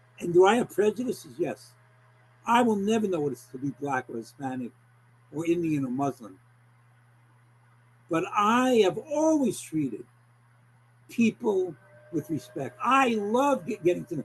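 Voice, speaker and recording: A man with an American accent and a high voice talks at a moderate pace, swinging his pitch very widely and pausing long and often. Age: 70s. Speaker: clinical social worker. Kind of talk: interview. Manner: animated; halting.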